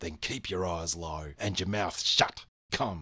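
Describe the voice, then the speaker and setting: A man growls in a put-on character voice with a very deep, low pitch. He talks at a fairly slow pace. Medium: read story. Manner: nervous, stern.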